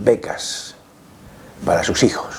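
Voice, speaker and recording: A man speaks against noticeable background noise. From Andalusia, Córdoba. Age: 70s. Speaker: sociologist. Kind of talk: interview testimony. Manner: halting, with many fillers.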